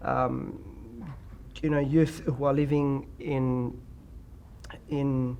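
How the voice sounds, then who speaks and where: With an Australian accent, a man speaks in a monotone, flat way. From Australia (Perth). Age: 20s. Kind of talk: interview.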